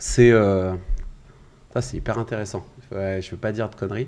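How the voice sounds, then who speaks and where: At a moderate pace, a man speaks in a fairly low pitch with a dark, mellow tone. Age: 20s. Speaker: sales coach. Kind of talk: podcast interview.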